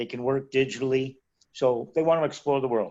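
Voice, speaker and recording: An ordinary speaking voice from a man at medium pitch, at a fairly quick pace. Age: 60s. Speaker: retired expat. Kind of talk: interview.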